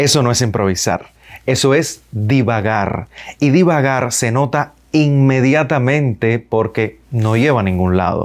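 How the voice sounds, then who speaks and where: Using an ordinary speaking voice, a man speaks at a fairly slow pace with a medium pitch, ordinary pitch variation and very even loudness. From Cuba. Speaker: radio and television announcer. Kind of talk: public speaking lesson to camera.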